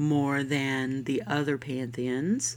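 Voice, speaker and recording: A woman talks with an American accent in a warm, upbeat tone. Her pace is very slow. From US South, Florida. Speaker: podcast host. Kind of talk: scripted-style podcast intro, casual monologue. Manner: warm, friendly, upbeat.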